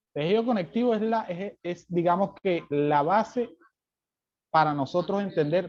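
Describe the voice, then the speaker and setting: A man talks loudly at a high pitch with lively intonation. His pace is fairly slow. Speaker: lecturer. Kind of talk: lecture. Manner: softer than usual, with pauses; normally loud in class.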